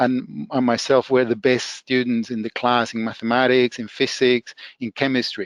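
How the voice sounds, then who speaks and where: A man with a Spanish accent and medium pitch, dry, close sound with no echo, over a quiet background. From El Salvador. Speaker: professor. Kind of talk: podcast interview. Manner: halting, many fillers and restarts.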